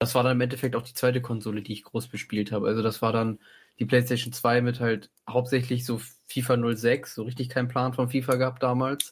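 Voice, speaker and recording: Monotone, flat intonation marks this man's somewhat breathy voice. He talks at a fairly quick pace. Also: medium pitch for a man. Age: 20s. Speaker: podcast co-host. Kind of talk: casual chat.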